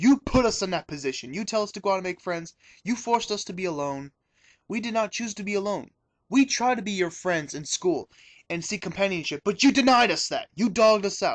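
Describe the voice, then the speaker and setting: An angry man's high-pitched voice, fairly quick with lively intonation, dry and close with no echo over a quiet background. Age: 20s. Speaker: video confessional speaker. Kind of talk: personal testimony. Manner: angry, ranting.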